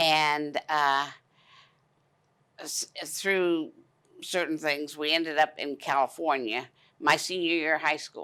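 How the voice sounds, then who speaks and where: Recorded very cleanly against a silent background, a bright, sharp voice in a Southern US accent moves at a very slow pace with monotone, flat intonation and long, frequent pauses. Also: woman, very deep, low pitch for a woman. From US South, Jacksonville, Florida. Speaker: retirement community resident. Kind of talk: interview.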